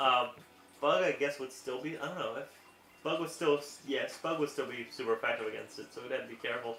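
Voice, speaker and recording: A man mumbles at a very fast pace and a fairly high pitch. Noticeable background noise runs underneath. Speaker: gaming let's play commentator. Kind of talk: casual game commentary. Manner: mumbling; hesitant with fillers.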